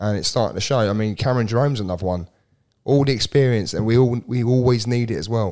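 A man talks at a very fast pace in a dark, mellow tone, his pitch medium and his pitch variation ordinary. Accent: English. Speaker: football podcast co-host. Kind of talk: casual chat.

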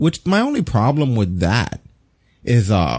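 A man's voice sits at a medium pitch with a dark, mellow tone. It is somewhat breathy. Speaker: podcast host. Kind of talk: casual chat. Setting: live stream.

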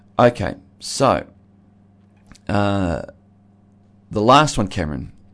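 A man speaks in a fairly low pitch. He has an Australian accent. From Australia, Geelong (Victoria). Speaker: pastor and regular radio commentator. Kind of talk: radio discussion. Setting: radio studio.

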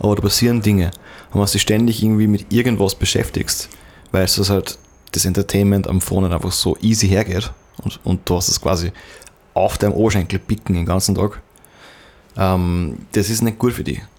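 Long, frequent pauses break up a man's fairly quick delivery. His pitch is fairly low and his intonation fairly even. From Upper Austria. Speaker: podcast host. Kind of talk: casual chat.

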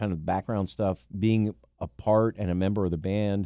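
With a dark, mellow tone and fairly low pitch, a man speaks at a moderate pace with fairly even intonation, the sound dry and close with no echo. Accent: American. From Pennsylvania, Lancaster County. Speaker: stadium announcer and radio meteorologist. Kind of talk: casual interview.

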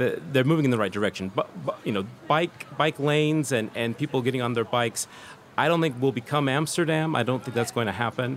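Noticeable background noise sits behind a man talking at a fairly quick pace. His medium pitch varies in an ordinary way. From California, US. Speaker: journalist. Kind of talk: casual chat. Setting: pop-up radio studio at a design fair.

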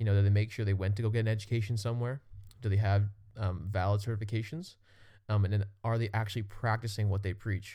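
Speaking at a very fast pace, a man has a dark, mellow tone, monotone, flat intonation and very even loudness on a very clean recording with a silent background. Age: 20s. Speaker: fitness podcast host. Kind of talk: casual chat.

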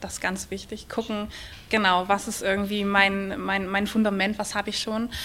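At a moderate pace and a medium pitch, a woman talks over noticeable background noise. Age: 40s. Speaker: charity press officer. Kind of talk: live podcast interview. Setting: stage with audience at a trade fair.

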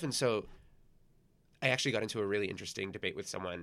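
This man speaks with a Californian accent in a fairly low pitch. The recording is very clean, with a silent background. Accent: Californian American English. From Los Angeles, California (San Gabriel Valley). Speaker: event organizer, flea market founder. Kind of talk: casual interview.

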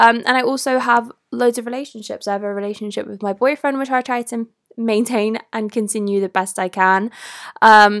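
A woman with a British accent speaks at a moderate pace in a fairly high voice, her intonation fairly even. The sound is dry and close with no echo, on a very clean recording with a silent background. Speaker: podcast host and content creator. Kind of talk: casual solo monologue.

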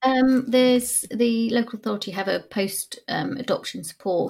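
At a moderate pace, a woman with an English accent speaks with ordinary pitch variation. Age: 40s. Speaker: adoptive parent. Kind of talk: interview. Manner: halting.

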